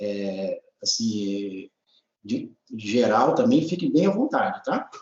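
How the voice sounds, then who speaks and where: A high-pitched man at a very slow pace, with very wide pitch swings. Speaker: agronomy researcher, professor. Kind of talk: technical training presentation. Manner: hesitant, many fillers.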